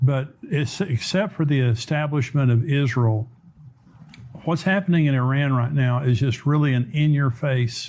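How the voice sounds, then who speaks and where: At a moderate pace, a man speaks in a somewhat breathy voice with a medium pitch. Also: very even loudness. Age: 70s. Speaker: pastor and prophecy show host. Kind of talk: interview discussion.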